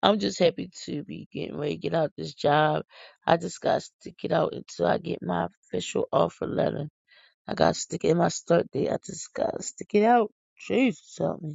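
This woman has an American accent and a moderate pace. Her loudness swings widely. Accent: country-sounding, per her kids. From Philadelphia, US. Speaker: podcast host. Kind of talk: casual chat.

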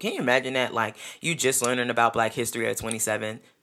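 In a New York accent, a woman speaks with a very deep, low pitch and a bright, sharp, animated tone. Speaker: podcast host. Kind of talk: solo podcast monologue. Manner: loud.

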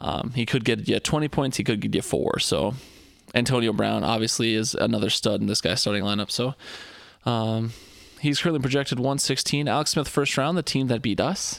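Male voice with vocal fry, ordinary pitch variation, and a moderate pace. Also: medium pitch for a man. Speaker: podcast host. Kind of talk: casual chat. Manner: joking.

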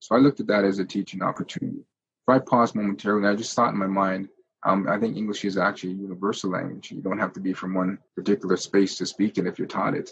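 With a Canadian accent, a man rattles along at a very fast pace with hardly any pauses, his fairly low pitch held in fairly even intonation. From Ontario, Canada (Jamaican parents). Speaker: antiracism and cultural literacy educator. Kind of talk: interview.

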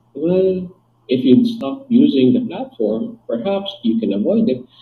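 Very wide swings in pitch run through what this man says. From Philippines. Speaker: psychologist and relationship therapist. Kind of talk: interview.

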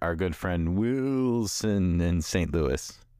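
A man with an American accent, very deep and low in pitch, with lively intonation. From Chicago, US Midwest. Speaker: podcast host. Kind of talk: casual chat.

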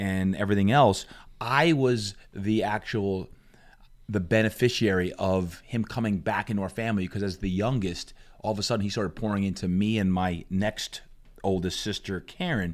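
Recorded very cleanly with a silent background, a man with a plain, everyday voice talks at a moderate pace, fairly low in pitch with ordinary pitch variation. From New Jersey, Jersey Shore. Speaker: fitness coach and motivational speaker. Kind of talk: interview. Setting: studio.

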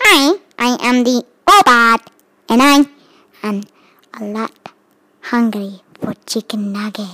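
A put-on character voice, female-sounding and fairly high for a woman, at a fairly slow pace with long, frequent pauses. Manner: playful.

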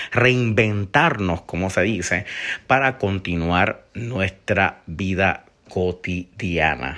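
A man with a Puerto Rican accent and a bright, sharp tone, recorded very cleanly over a silent background. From Puerto Rico, Isabela. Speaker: podcast host. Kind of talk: solo news commentary.

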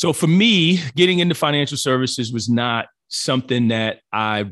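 Using a normal speaking voice, a man with an American accent speaks at a moderate pace with ordinary pitch variation. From New Jersey. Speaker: financial advisor and crypto entrepreneur. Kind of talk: interview conversation.

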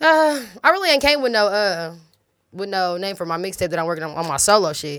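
Speaking at a fairly quick pace with an American accent, a woman with a medium pitch sounds animated, her pitch swinging very widely. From US, same city as host; parents from Los Angeles and Detroit. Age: 20s. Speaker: rapper. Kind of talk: casual interview chat.

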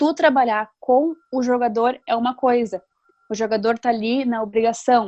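A woman's fairly high, dark, mellow voice with fairly even intonation at a moderate pace, dry and close with no echo. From Novo Hamburgo, Rio Grande do Sul, Brazil. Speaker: sports journalist. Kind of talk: casual interview.

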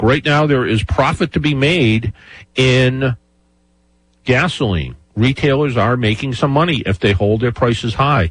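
Somewhat breathy, medium-pitched man's voice with lively intonation at a moderate pace, over a quiet background. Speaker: radio host. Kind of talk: casual radio talk show. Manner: chatty, rambling.

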